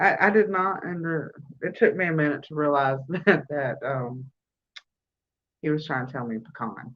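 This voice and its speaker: In a Southern US accent, a woman talks at a fairly slow pace with very wide pitch swings. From US South. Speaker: crochet livestream host. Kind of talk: casual chat. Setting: livestream on phone.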